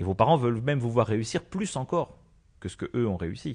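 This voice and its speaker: In a quiet background, a somewhat breathy male voice talks. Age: 40s. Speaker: school education counsellor. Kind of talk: radio interview by children.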